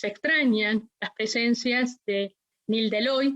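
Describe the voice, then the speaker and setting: Speech comes at a very slow pace with fairly even intonation. The sound is dry and close, with no echo. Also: woman. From Argentina, La Plata. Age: 60s. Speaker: witness, dictatorship survivor. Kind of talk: court testimony. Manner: formal.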